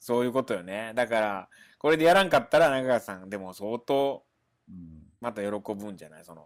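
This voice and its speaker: Talking at a fairly quick pace, a man uses a medium pitch, lively intonation and big swings in loudness. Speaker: stage actor. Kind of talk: casual chat. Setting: remote call.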